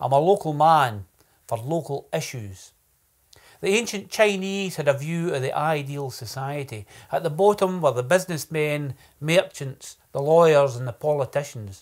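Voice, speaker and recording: Speaking at a moderate pace with a Scottish accent and lively intonation, this voice comes through on a very clean recording with a silent background. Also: man, fairly high pitch for a man. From Scotland, Ayrshire (New Cumnock). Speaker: poet and political candidate. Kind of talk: political speech; casual introduction to camera.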